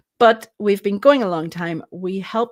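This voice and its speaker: A fairly slow, lively-intoned voice with a Northern Irish accent on a very clean recording with a silent background. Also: woman. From Northern Ireland. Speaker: co-host. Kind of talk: live stream chat.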